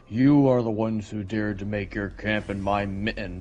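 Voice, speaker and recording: A man puts on a loud, rumbling character voice at a fairly low pitch. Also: moderate pace. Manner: sleepy, menacing.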